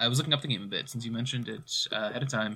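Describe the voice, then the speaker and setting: A man talks in a bright, sharp tone with ordinary pitch variation. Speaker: fill-in guest host. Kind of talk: casual chat. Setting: remote recording.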